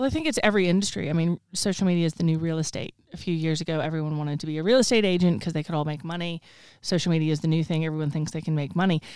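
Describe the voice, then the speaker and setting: A woman with a Texan accent talks at a very fast pace in a fairly low voice, with ordinary pitch variation and a confident tone. The recording is very clean, with a silent background. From Texas. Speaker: social media consultant. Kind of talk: casual interview. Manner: confident, opinionated.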